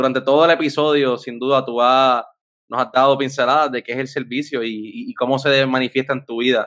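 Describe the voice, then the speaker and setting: A man's monotone, flat delivery over a quiet background. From Puerto Rico. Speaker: podcast host. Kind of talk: casual interview. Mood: warm, friendly. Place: home room. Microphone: studio mic.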